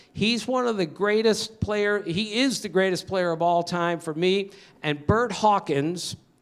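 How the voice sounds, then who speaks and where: A man's high-pitched voice with an American accent, fairly slow, with ordinary pitch variation. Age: 60s. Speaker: baseball writer. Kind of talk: talk to an audience. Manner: animated.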